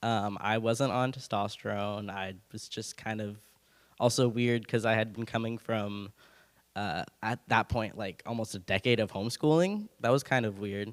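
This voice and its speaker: A man with a Californian accent talks at a moderate pace with fairly even intonation. The recording is very clean and the background silent. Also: medium pitch for a man. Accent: General American (California). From Benicia, California. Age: 20s. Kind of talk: personal testimony on a panel. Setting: church hall with audience, passed mic. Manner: casual, hesitant with fillers.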